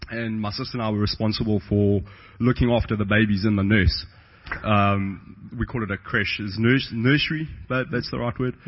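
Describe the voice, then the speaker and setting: A man with a South African accent, fairly low pitch, moderate pace and ordinary pitch variation. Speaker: pastor. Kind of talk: testimony.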